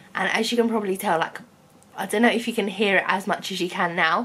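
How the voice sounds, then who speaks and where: In a British accent, a woman talks at a very fast pace with fairly even intonation. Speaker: vlogger. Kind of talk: casual vlog monologue. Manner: chatty, casual.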